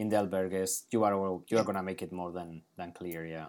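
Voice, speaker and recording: Over a silent background in a very clean recording, a man with a Spanish accent talks at a fairly quick pace in a fairly low pitch with monotone, flat intonation. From Pamplona, Navarra, Spain. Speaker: podcast host. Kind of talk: casual interview.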